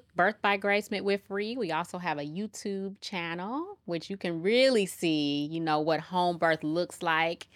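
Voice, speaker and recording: A woman with an American accent, fairly low pitch and ordinary pitch variation, on a very clean recording with a silent background. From Chicago, South Side. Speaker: nurse midwife. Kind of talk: casual interview chat.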